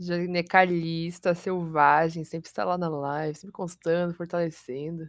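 Against a quiet background, a woman with a fairly low pitch talks at a fairly slow pace with hardly any pauses, her intonation monotone and flat and her loudness swinging widely. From Curitiba, Brazil. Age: 20s. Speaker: streamer and fighting game player. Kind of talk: casual chat.

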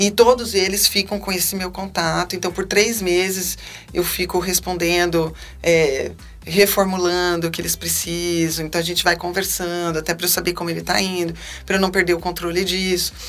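A woman with a fairly low pitch and calm tone, monotone, flat intonation at a moderate pace, amid noticeable background noise. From Brazil, Salvador, Bahia. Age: 40s. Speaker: physician. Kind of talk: interview. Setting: studio.

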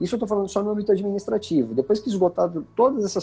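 The man's voice carries a dark, mellow tone. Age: 40s. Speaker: company executive, fleet fines specialist. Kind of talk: podcast interview.

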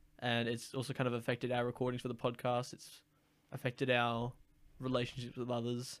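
Flat, monotone intonation comes at a fairly quick pace in an Australian accent. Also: man, medium pitch for a man. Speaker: podcast host. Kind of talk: casual chat.

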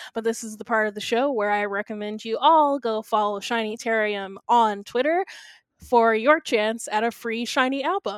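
In a very clean recording with a silent background and a dry, close sound with no echo, a plain, everyday voice shows ordinary pitch variation. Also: woman, fairly high pitch for a woman, moderate pace. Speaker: podcast host. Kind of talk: casual chat.

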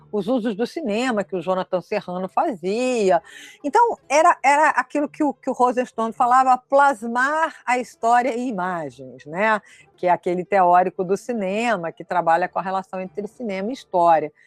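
Her intonation lively, a woman talks at a moderate pace in a fairly high pitch. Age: 60s. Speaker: history professor. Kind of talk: lecture. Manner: halting, with many repeated fillers.

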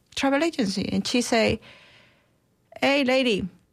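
A woman speaks in a high pitch. She keeps a moderate pace. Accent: Mexican. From Mexico. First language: Spanish. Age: 50s. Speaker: chef and restaurant owner. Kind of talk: interview. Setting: studio.

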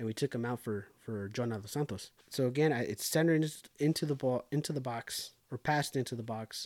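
A man with a medium-pitched voice and ordinary pitch variation talks at a fairly quick pace with hardly any pauses, recorded with a dry, close sound and no echo. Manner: conversational and slightly disfluent, with restarts and filler words.

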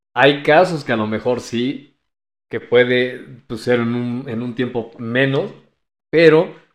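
Big swings in loudness from a man at a very slow pace, against a quiet background. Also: medium pitch for a man, ordinary pitch variation. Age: 30s. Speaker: life coach. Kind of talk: casual chat.

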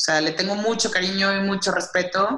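A woman talks at a medium pitch. Her tone is bright and sharp. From northern Mexico, Saltillo, Coahuila. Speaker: festival brand director. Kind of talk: interview.

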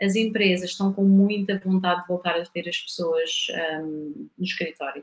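A woman speaks at a medium pitch and a moderate pace. Her voice is somewhat breathy, with fairly even intonation. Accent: European Portuguese. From Portugal, Coimbra. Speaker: knowledge management consultant, engineer. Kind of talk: podcast interview.

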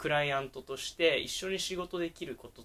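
On a very clean recording with a silent background, a man speaks fairly quickly in a high, bright and sharp voice with ordinary pitch variation. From Japan, Sapporo, Hokkaido. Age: 20s. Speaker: entrepreneur. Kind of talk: casual chat. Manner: animated.

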